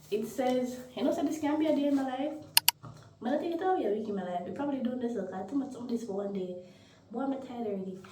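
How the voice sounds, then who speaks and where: A woman speaks with very wide pitch swings. Audible room echo and noticeable background noise surround her voice. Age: 20s. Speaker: vlogger. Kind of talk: vlog. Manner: halting, repeats words.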